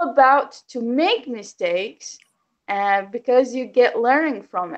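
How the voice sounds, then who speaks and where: At a fairly slow pace, a woman with a high voice speaks with lively intonation and big swings in loudness. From Yemen. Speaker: English learner. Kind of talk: casual chat. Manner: halting.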